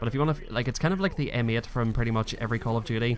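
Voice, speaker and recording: A man with a Northern Irish accent at a very fast pace. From Northern Ireland. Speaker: gaming youtuber. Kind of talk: gameplay commentary. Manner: casual, hesitant with fillers.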